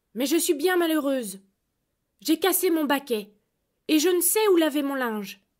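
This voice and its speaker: Using a put-on character voice, a woman speaks at a high pitch and a moderate pace. She leaves long, frequent pauses. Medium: read story. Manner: sharp, demanding.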